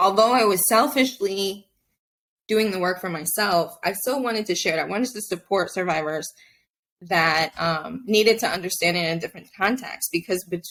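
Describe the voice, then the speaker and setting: A woman speaks at medium pitch with a Spanish accent. Her pitch varies in an ordinary way. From Mexico. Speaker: abuse survivor advocate. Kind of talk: podcast interview testimony.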